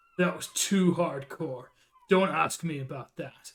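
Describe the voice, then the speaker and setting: Putting on a gruff character voice, a man speaks at a fairly slow pace and a fairly high pitch. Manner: comically gruff.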